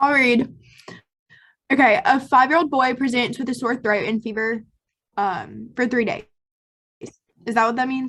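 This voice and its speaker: A woman with a high pitch speaks at a moderate pace, with ordinary pitch variation and long, frequent pauses. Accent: strong Southern US. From South Carolina. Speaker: premed student attendee. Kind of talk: reading aloud.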